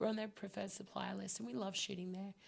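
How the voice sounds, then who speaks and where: Vocal fry runs through a woman's lively intonation at a medium pitch. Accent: Australian. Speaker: wedding photographer and podcast co-host. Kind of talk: casual chat. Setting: live stream with mic. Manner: animated.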